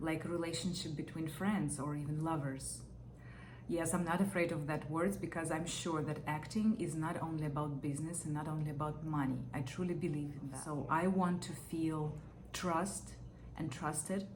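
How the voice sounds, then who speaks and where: A woman talks with a non-native accent in a very deep, low pitch. Noticeable background noise and audible room echo fill the recording. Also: fairly even intonation, moderate pace. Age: 30s. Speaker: actor. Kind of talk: audition interview. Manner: hesitant, with fillers.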